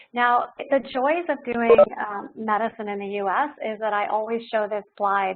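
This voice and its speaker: This woman has an unremarkable speaking voice pitched fairly high. She talks at a moderate pace with ordinary pitch variation. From Ontario, Canada. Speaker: doctor and wellness speaker. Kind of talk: webinar talk. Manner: informal, frequent fillers.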